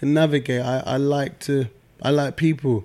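A man with a London accent uses a fairly high pitch and ordinary pitch variation. His tone is dark and mellow. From South East London. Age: 30s. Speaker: music manager and entrepreneur. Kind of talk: casual interview. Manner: calm.

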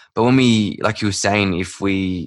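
A man with a fairly low pitch and an Australian accent at a moderate pace, against a quiet background. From Perth, Western Australia. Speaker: men's work facilitator, breathwork guide. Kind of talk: casual interview chat.

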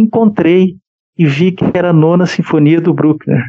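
At a fairly slow pace, a man talks in a high voice whose pitch varies in an ordinary way. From Brazil, São Paulo. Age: 50s. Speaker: podcast co-host and writer. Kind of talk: casual interview chat.

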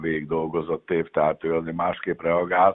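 A man is speaking. His pitch is very deep and low. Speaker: national swim team coach. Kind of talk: interview.

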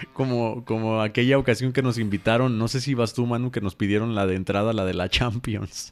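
Speaking with a Mexican accent at a medium pitch, a man keeps a fairly quick pace with hardly any pauses and fairly even intonation. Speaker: podcast co-host and church musician. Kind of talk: casual chat.

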